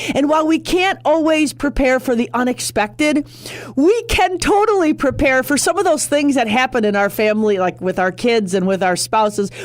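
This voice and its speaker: A woman's high voice at a moderate pace, very wide pitch swings and very even loudness, over noticeable background noise. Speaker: radio host. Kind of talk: radio talk show monologue. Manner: animated.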